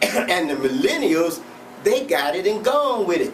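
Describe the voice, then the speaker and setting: A man speaks at a very slow pace with very wide pitch swings. The room echo is audible and the background noise is noticeable. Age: 70s. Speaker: self-help show host. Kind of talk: motivational monologue. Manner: halting, repetitive.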